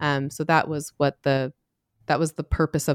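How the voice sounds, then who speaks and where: Recorded very cleanly against a silent background, with a dry, close sound and no echo, a woman speaks at a very deep, low pitch, a fairly quick pace and fairly even intonation. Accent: American. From US Mountain West (Utah area). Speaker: sociologist and author. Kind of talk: interview.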